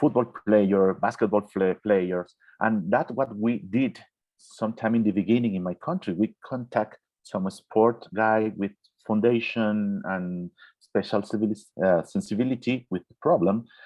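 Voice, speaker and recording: A man with a Spanish accent talks at a moderate pace, his pitch fairly low with ordinary variation. His loudness swings widely. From Venezuela. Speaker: orthopedic surgeon. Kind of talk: Q&A answer in online webinar. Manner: halting, with fillers and restarts.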